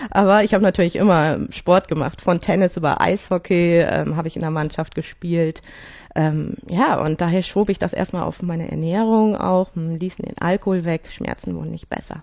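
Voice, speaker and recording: This woman has an unremarkable speaking voice, fairly low in pitch, with fairly even intonation. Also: moderate pace. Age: 40s. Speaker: amateur triathlete with rheumatoid arthritis. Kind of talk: interview.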